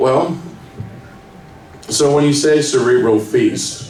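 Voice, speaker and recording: Through audible room echo and noticeable background noise, a man talks at a fairly slow pace with ordinary pitch variation. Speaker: magazine writer and panel moderator. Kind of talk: hosting a panel Q&A. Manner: loud.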